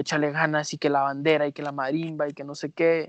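Here is a man with an unremarkable speaking voice. He sounds fairly high-pitched and talks at a fairly quick pace. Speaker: podcast co-host. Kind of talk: casual chat.

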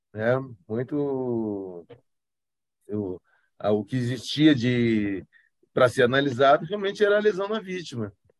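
Very wide pitch swings in a southern Brazilian accent, a fairly slow pace with long, frequent pauses, over a quiet background. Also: man, medium pitch for a man. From Brazil, São Paulo, raised in Porto Alegre. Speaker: forensic expert. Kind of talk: interview. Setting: video call.

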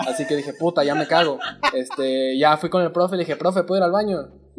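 With ordinary pitch variation, an unremarkable speaking voice goes along at a fairly quick pace. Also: man. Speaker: podcast co-host. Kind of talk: casual chat.

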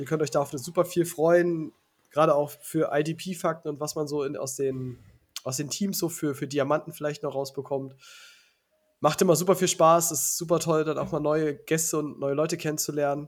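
A man's fairly high, monotone and flat voice at a moderate pace. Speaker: fantasy football podcast host. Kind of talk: casual chat. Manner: stammering.

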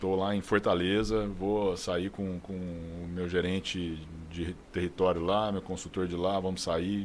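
Speaking with a São Paulo interior accent, a man with a very deep, low pitch talks at a moderate pace in a flat, monotone way. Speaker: sales director. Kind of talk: casual chat.

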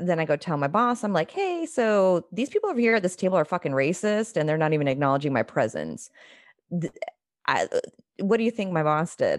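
Using a plain, everyday voice with an American accent, a woman talks at a fairly quick pace with lively intonation and very even loudness against a quiet background. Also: medium pitch for a woman. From United States. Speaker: podcast host. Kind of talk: casual chat.

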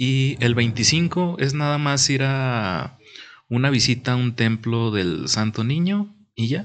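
With a quiet background, a man at medium pitch speaks very slowly, his intonation lively and his loudness very even. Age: 20s. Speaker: podcast co-host. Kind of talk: casual chat.

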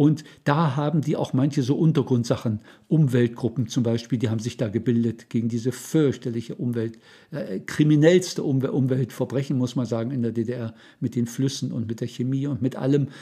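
A man's medium-pitched, dark, mellow and somewhat breathy voice at a moderate pace with ordinary pitch variation, over a quiet background. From eastern Germany, Saxony-Anhalt. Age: 70s. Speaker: retired church volunteer. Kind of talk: life story interview.

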